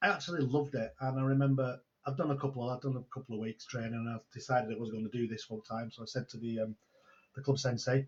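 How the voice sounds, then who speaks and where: Very fast, somewhat breathy speech from a man in a Manchester accent, intonation fairly even. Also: medium pitch for a man. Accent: Greater Manchester English. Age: 60s. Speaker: online entrepreneur and mentor. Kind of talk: casual interview chat. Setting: video call.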